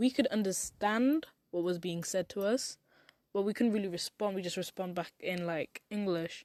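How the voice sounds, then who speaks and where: At a moderate pace, a woman with a medium pitch and ordinary pitch variation speaks in an ordinary speaking voice, the sound dry and close with no echo. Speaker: podcast host. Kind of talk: podcast monologue.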